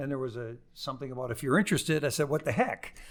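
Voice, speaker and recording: The voice is a plain, everyday voice with ordinary pitch variation. It is a very clean recording, silent background. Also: man. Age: 60s. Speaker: lawyer and business school teacher. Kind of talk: podcast interview.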